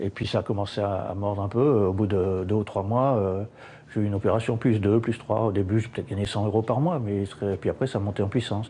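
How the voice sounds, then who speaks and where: Fairly quick speech comes with intonation that stays fairly even. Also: man, fairly low pitch for a man. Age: 60s. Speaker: retiree working as tiler. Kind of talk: interview. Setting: building site. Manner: halting.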